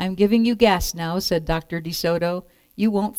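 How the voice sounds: The voice reads naturally. Pitch rises and falls in an ordinary way.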